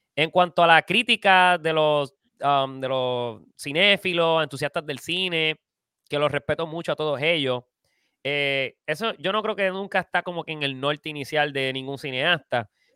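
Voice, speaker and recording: A man speaks at a fairly slow pace with a fairly high pitch, ordinary pitch variation and a bright, sharp tone, recorded very cleanly against a silent background with a dry, close sound and no echo. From Puerto Rico. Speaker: filmmaker. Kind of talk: casual interview.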